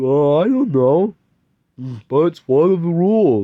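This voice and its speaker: Put-on character voice from a man, high-pitched with very wide pitch swings, very even loudness, and a fairly slow pace. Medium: read story. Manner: kindly, hesitant.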